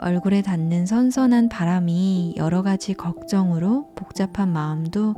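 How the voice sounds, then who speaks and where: A woman speaks at a medium pitch with ordinary pitch variation. She goes very slowly, and music plays in the background. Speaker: audiobook narrator. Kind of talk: casual greeting and book introduction.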